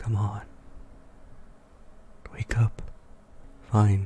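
A man talks at a fairly low pitch, somewhat breathy. His tone is dark and mellow. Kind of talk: ASMR roleplay, boyfriend waking you up. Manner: soft-spoken, whispering.

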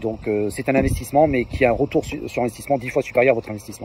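Talking at a very fast pace with ordinary pitch variation, a man is recorded in a dry space with no echo and light background noise. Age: 50s. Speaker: fitness program client giving testimonial. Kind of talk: testimony. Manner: hesitant, many filler words. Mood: positive, enthusiastic. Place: open country. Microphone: phone near.

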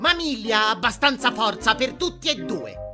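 A high-pitched, put-on character voice at a moderate pace over clear music in the background. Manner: anxious, prissy, indignant.

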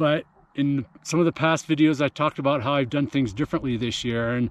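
A man speaks with ordinary pitch variation. The sound is dry with no echo. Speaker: running coach. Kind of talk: casual vlog chat. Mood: reflective, calm. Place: open country. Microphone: phone near.

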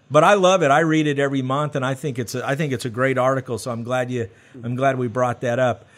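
A man with an American accent, talking at a very fast pace with ordinary pitch variation. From US South. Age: 40s. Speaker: podcast host. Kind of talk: interview. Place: studio. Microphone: studio mic.

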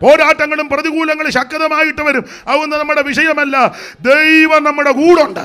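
Raising and projecting his voice, a man speaks at extremely high pitch in an animated, bright, sharp tone. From Kerala, India. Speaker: pastor. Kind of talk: sermon. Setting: church convention with audience. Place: church. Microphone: handheld.

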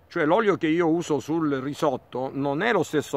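The man talks at a moderate pace. His sound is dry with no echo. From Abruzzo, Italy. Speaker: agronomist and plant nursery owner. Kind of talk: casual interview. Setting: outdoors in olive field. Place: farm. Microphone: phone near.

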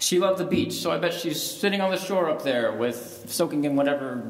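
Speaking at a moderate pace, a man is heard with audible room echo. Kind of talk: spoken word poem eulogy at a funeral. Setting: funeral service. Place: church. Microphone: podium.

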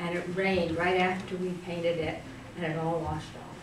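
A woman's voice amid noticeable background noise and audible room echo. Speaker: interviewee. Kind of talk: interview answer. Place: classroom. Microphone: camera far.

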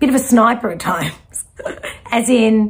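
The pitch shows ordinary variation. The speaker is a woman. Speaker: intuitive reader. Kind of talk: spiritual reading to viewer. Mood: warm, animated. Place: home room.

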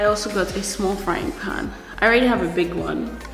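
Clear background music behind a moderately paced woman. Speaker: vlogger. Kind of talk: casual vlog chat. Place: home room. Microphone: camera far.

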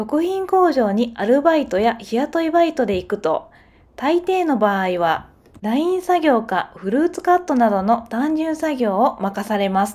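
Over a very clean recording with a silent background, a woman speaks at a fairly slow pace in a high pitch with very wide pitch swings. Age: 30s. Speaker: factory worker and vlogger. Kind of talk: scripted narration, vlog.

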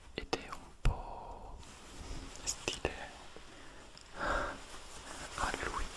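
A man whispering at a very slow pace, with long, frequent pauses. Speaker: ASMR content creator. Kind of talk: casual talk to camera, product haul show and tell. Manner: whispered, soft-spoken. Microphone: studio mic.

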